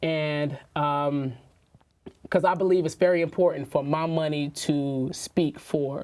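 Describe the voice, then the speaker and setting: A woman speaks in a very deep, low pitch. Her intonation stays fairly even. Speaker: entrepreneur, media company founder. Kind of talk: interview conversation. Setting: sit-down interview. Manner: fast.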